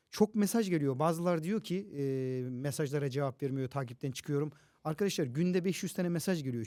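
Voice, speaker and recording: This man has a fairly high pitch and a dark, mellow tone, and he talks at a fairly quick pace. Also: very clean recording, silent background. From Toros Mountains, southern Turkey. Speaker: teacher and social media content creator. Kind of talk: casual interview chat. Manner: animated, loud, energetic.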